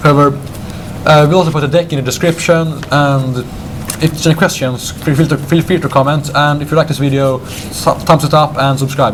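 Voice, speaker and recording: Fairly quick, monotone, flat speech against noticeable background noise. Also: man, fairly high pitch for a man. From Sweden. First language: Swedish. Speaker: card game deck presenter. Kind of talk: casual chat. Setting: game store with crowd. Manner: halting.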